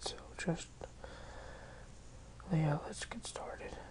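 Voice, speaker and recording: Noticeable background noise runs through the clip. The speech moves at a fairly slow pace. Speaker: software tutorial maker. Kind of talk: screen-recorded software tutorial. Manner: casual.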